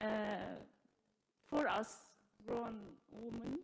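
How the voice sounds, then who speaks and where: Fairly high in pitch, a woman talks with an Arabic accent. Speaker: teacher, audience member. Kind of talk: audience question. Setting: live event with audience, mic. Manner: halting.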